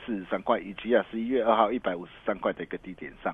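The man talks at a very fast pace. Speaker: stock market analyst. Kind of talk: radio market commentary. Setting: radio studio.

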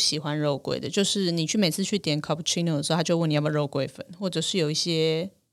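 Talking at a very fast pace, a woman uses ordinary pitch variation in a fairly low voice. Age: 40s. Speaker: tea podcast host. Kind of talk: casual chat.

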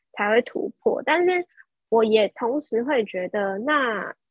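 A woman speaks very slowly in a fairly high pitch, her intonation lively. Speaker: young entrepreneur. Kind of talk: casual interview.

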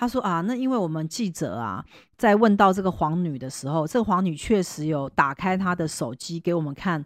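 A woman's unremarkable speaking voice, fairly low in pitch, at a fairly quick pace with lively intonation, on a very clean recording with a silent background. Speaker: fortune teller and podcast host. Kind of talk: casual chat.

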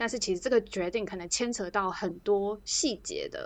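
A woman speaks in an ordinary speaking voice at medium pitch, with ordinary pitch variation. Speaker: podcast co-host. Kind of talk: casual chat.

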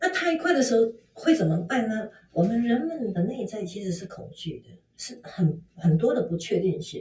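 A woman speaks at a moderate pace in a fairly high, somewhat breathy voice with a dark, mellow tone and very wide pitch swings. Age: 50s. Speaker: fashion consultant. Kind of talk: interview.

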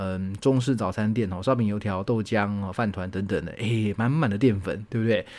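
A man's fairly quick, fairly low, fairly even-toned delivery in a plain, everyday voice, with hardly any pauses, in a very clean recording over a silent background. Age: 30s. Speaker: university lecturer and podcast host. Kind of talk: casual solo monologue answering listener questions. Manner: relaxed, chatty with frequent filler particles.

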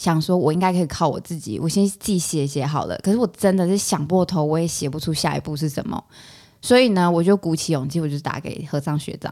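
Here a woman talks at a very fast pace, her pitch fairly low. Her tone is dark and mellow, with ordinary pitch variation. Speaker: psychology graduate student. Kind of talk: casual chat.

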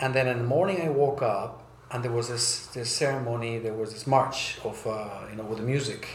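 Over noticeable background noise and audible room echo, a man talks fairly quickly at a medium pitch with fairly even intonation. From South America and US, raised mostly in Germany. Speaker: brand strategy consultant. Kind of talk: interview. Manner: hesitant, many fillers.

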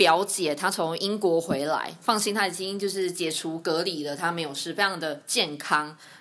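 A woman speaks in a bright, sharp tone. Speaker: nurse and podcast host. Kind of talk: casual interview chat.

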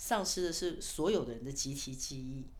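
A woman is speaking. Audible echo from the room surrounds her voice. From Taiwan, Kaohsiung military village. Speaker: author and PR consultant. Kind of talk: interview.

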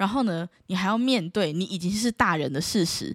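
A woman's medium-pitched, animated voice with a Taiwanese accent and lively intonation, in a very clean recording with a silent background and a dry, close sound with no echo. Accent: Taiwanese Mandarin. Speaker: podcast host. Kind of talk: casual solo chat.

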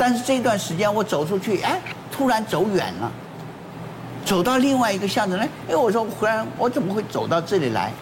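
A high-pitched man speaks with long, frequent pauses amid audible room echo and noticeable background noise. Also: ordinary pitch variation, fairly quick pace. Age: 80s+. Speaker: former weather presenter. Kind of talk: casual talk show chat.

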